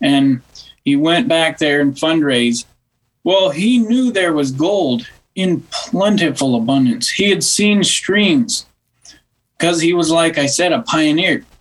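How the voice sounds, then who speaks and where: A man speaks high in pitch at a fairly slow pace, his intonation lively and his loudness very even. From Western South Dakota, near Wall. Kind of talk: interview on church history.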